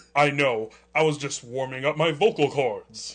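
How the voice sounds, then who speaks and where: A put-on character voice from a man, fairly high in pitch, at a moderate pace. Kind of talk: mock-dramatic reading of bad fan fiction. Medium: read story. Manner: overwrought, melodramatic line readings.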